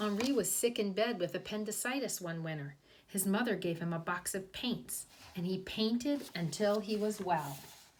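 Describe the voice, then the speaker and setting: A woman talks at a moderate pace and a medium pitch, with lively intonation. Her voice is somewhat breathy. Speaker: kindergarten teacher. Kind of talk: reading aloud; children's storytime explanation.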